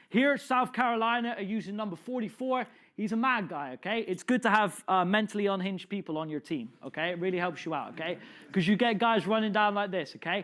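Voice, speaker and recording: On a very clean recording with a silent background, a man with a high pitch speaks very fast in an animated tone, with ordinary pitch variation. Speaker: football coach presenting a clinic. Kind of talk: lecture.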